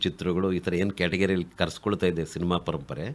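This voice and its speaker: A man with a very deep, low pitch speaks on a very clean recording against a silent background. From Kolar district, Karnataka. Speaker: writer and activist. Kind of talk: radio interview.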